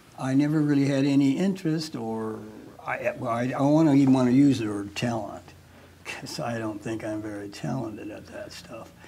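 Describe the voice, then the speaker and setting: A man speaks fairly quickly with big swings in loudness. Noticeable background noise and audible room echo fill the recording. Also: medium pitch for a man, ordinary pitch variation. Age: 80s+. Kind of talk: casual interview.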